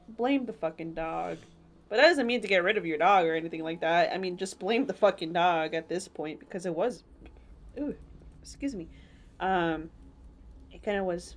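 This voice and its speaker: A woman speaks with a fairly low pitch, vocal fry and lively intonation at a moderate pace. The recording is very clean, with a silent background. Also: big swings in loudness. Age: 20s. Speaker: podcast host. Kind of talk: casual chat.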